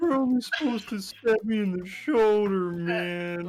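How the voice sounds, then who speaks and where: A put-on character voice from a female-sounding speaker, medium pitch for a woman, at a moderate pace over light background noise. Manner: laid-back, stoner drawl.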